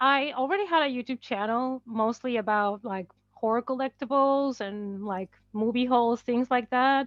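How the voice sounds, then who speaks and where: This woman has a high pitch, a non-native accent and ordinary pitch variation. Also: moderate pace. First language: not English. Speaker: horror book and movie YouTuber. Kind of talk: casual chat.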